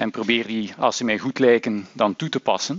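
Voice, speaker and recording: The man talks at a moderate pace with ordinary pitch variation. His voice sounds dry, with no echo. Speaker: university lecturer. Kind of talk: lecture. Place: hall. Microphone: headset.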